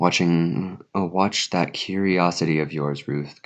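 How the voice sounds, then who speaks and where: Putting on a character voice, a man speaks raspy and very deep and low, at a fairly slow pace with fairly even intonation. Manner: warning, ominous.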